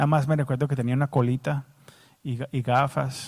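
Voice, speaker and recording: With an English accent, a man speaks at a moderate pace and a medium pitch. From United States. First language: English (speaking Spanish). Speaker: pastor. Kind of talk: sermon.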